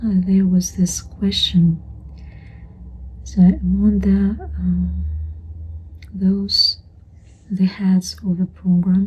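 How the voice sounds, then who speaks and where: Speech comes very slowly, broken by long, frequent pauses. Noticeable background noise sits under it. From Europe. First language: not English. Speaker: vlogger sharing personal memories. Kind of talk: casual personal vlog monologue. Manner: hesitant with many fillers.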